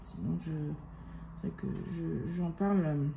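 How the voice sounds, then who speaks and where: A woman talks at a very slow pace. Her voice is somewhat breathy, with a dark, mellow tone. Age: 30s. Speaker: budgeting youtuber. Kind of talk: casual monthly budget talk to viewers. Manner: halting, many hesitations.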